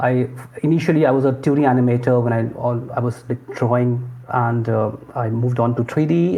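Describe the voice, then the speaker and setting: Fairly even in intonation, a man speaks with an Indian accent. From northern India, Lucknow. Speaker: lead game animator. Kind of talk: interview. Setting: remote call from India.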